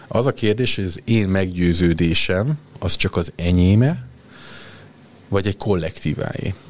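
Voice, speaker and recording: The speaker leaves long, frequent pauses and uses ordinary pitch variation. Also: man, very deep, low pitch for a man, fairly slow pace. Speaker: HR executive. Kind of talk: interview.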